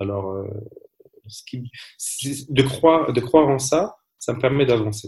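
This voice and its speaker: At a fairly slow pace, with long, frequent pauses, the speaker sounds somewhat breathy, with ordinary pitch variation and big swings in loudness. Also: man, medium pitch for a man. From France. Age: 30s. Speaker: entrepreneur and cosmetics consultant. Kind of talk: interview. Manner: halting.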